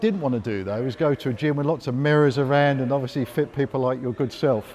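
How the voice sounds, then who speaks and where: A man talks at a fairly quick pace with a British accent. His voice is medium in pitch and varies an ordinary amount. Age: 60s. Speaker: gym member. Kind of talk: interview testimony.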